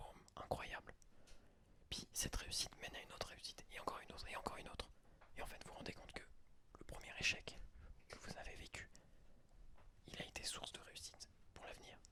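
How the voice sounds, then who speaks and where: Whispering from a man at a very fast pace, with long, frequent pauses. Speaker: ASMR podcaster. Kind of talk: ASMR podcast, whispered personal reflection. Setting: studio, close microphone. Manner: whispered, soft-spoken.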